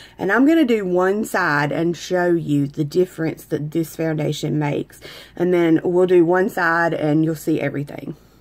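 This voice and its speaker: At a moderate pace, a woman speaks at a fairly low pitch. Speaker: makeup and skincare seller. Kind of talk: makeup tutorial. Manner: casual, chatty.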